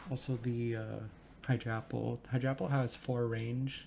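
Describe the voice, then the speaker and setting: A man's medium-pitched voice, somewhat breathy, with a dark, mellow tone and monotone, flat intonation. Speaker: gaming video creator. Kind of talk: gameplay commentary. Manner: stumbles over words; casual, hesitant with fillers.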